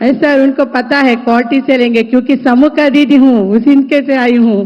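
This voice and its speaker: Over noticeable background noise, a woman with a Telugu accent speaks in a high pitch at a moderate pace, her intonation fairly even and her loudness very even. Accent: Telugu-accented Hindi. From Andhra Pradesh, India. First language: Telugu (speaking Hindi). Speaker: self-help group entrepreneur. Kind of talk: conversation with the prime minister, testimony.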